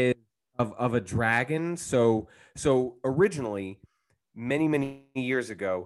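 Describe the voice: Against a quiet background, the clip offers plain reading aloud.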